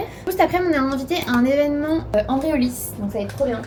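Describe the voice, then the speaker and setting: A woman talks with ordinary pitch variation. There is noticeable background noise. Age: 20s. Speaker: lifestyle vlogger. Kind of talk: casual vlog talk. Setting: at home, kitchen. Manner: animated.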